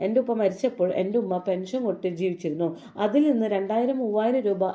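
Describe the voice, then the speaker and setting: Noticeable background noise behind a woman at a medium pitch, with ordinary pitch variation. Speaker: YouTube commentary vlogger. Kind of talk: commentary on controversy.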